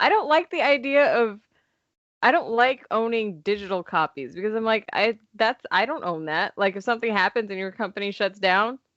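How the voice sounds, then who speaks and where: An ordinary speaking voice with an American accent moves at a moderate pace with lively intonation. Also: woman, fairly high pitch for a woman. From Los Angeles, US. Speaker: podcast co-host. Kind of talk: casual chat.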